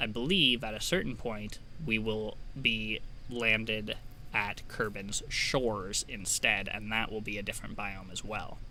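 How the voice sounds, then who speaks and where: A man's fairly low voice with an American accent, fairly even intonation and a fairly slow pace, in audible room echo. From United States. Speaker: gaming video creator. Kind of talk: let's play commentary. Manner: casual, relaxed narration with fillers.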